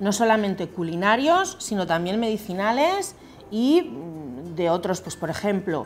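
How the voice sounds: The speech has big pitch swings and unfolds at a fairly slow pace. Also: woman, medium pitch for a woman.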